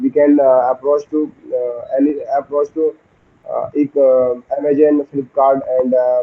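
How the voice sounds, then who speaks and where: A man with an Indian accent, fairly high in pitch, at a fairly slow pace with monotone, flat intonation. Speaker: SSB aspirant giving a practice lecturette. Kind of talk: practice lecturette. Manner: halting, many fillers and restarts.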